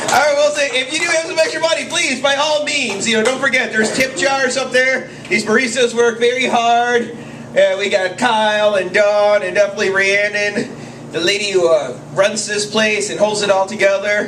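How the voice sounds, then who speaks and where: With noticeable background noise and audible room echo, a man with a high pitch speaks at a moderate pace with ordinary pitch variation. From South American heritage, raised by Bolivian mother. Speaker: open mic host and comedian. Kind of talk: stand-up emcee patter. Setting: stage with audience at a cafe open mic. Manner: mumbling at times.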